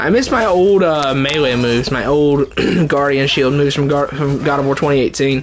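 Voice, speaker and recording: Noticeable background noise surrounds a man with a fairly high pitch and an animated tone. His loudness stays very even, his pitch varies in an ordinary way, and his pace is moderate. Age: 20s. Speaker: video game streamer. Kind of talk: live gameplay commentary. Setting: livestream. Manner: casual, gets animated.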